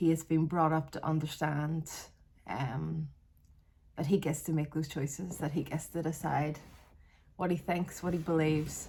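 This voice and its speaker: A woman with a Northern Irish accent speaks at a moderate pace in a very deep, low pitch and a dark, mellow tone, with vocal fry, monotone, flat intonation and long, frequent pauses. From Northern Ireland, Belfast area. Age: 40s. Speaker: vlogger. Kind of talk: casual vlog monologue. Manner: hesitant, with fillers and restarts.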